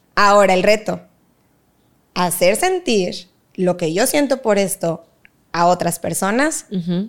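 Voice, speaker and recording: Lively intonation marks this woman's very slow speech, heard on a very clean recording with a silent background. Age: 20s. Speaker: dance teacher and academy founder. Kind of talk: casual interview.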